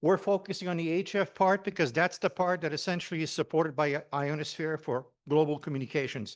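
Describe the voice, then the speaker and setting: The speaker talks very fast in a Quebec accent. Pitch moves in an ordinary way against a quiet background. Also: man, fairly high pitch for a man, hardly any pauses. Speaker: amateur radio operator and HF systems engineer. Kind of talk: technical presentation. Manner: loud.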